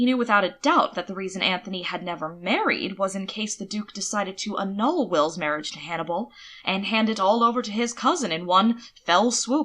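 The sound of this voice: A woman's medium-pitched, fairly bright voice with ordinary pitch variation and a fairly quick pace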